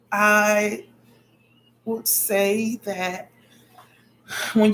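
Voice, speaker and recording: A soft-spoken woman's voice, somewhat breathy, at a medium pitch. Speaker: spiritual vlogger. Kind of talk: casual vlog monologue.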